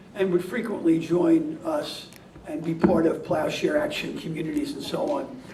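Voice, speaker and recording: A man with an American accent at a moderate pace, high-pitched with very wide pitch swings, amid noticeable background noise and audible room echo. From New York. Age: 60s. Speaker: peace activist receiving an award. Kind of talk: award acceptance speech. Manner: halting, with many fillers.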